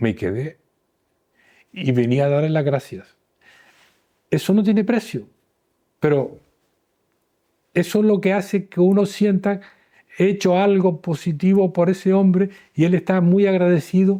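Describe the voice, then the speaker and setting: A man speaks fairly slowly in a high voice with a dark, mellow tone, very even loudness and ordinary pitch variation, leaving long, frequent pauses. The recording is very clean, with a silent background. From Canary Islands, Gran Canaria. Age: 70s. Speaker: retired urologist. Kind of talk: interview.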